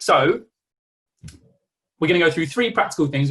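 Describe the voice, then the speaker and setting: A man with an East Midlands accent, fairly high in pitch, with very wide pitch swings. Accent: East Midlands English (Nottinghamshire). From England, Nottinghamshire. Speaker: coach and therapist. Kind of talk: online workshop presentation. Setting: video call. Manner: casual, conversational.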